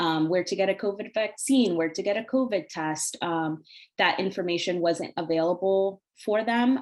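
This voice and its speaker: A plain, everyday voice: a woman with an American accent, medium pitch, ordinary pitch variation and a moderate pace, with a quiet background. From Northern Virginia (Arlington / Falls Church area). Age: 20s. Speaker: TV news reporter. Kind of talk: panel presentation. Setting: video call webinar.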